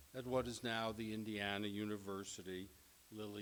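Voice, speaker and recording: With audible room echo, a man with an American accent speaks at a moderate pace in a fairly low pitch. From New York. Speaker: professor. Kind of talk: lecture. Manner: formal.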